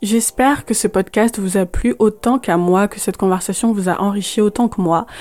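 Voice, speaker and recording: A woman talks in an ordinary speaking voice at medium pitch and a moderate pace. She uses ordinary pitch variation and hardly any pauses. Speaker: podcast host. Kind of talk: interview. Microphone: poor sound quality, host hard to hear.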